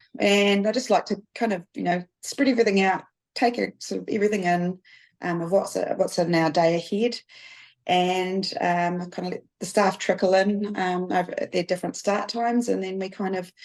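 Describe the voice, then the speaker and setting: Here a woman speaks at a medium pitch and a moderate pace. Her intonation stays fairly even. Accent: New Zealand. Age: 40s. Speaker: business production manager. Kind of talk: podcast interview. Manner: halting, many fillers.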